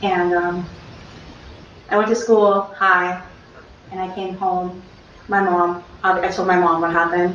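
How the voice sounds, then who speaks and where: A soft-spoken woman at medium pitch talks at a fairly slow pace in a monotone, flat way, leaving long, frequent pauses. Noticeable background noise and audible room echo surround her voice. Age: 20s. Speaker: trial witness. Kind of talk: court testimony. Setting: courtroom. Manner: hesitant. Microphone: courtroom speaker mic, too quiet.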